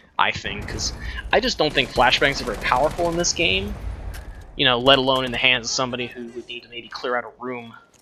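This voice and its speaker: Through noticeable background noise, a man speaks very fast at a medium pitch with ordinary pitch variation. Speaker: video game reviewer. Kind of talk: casual gameplay commentary.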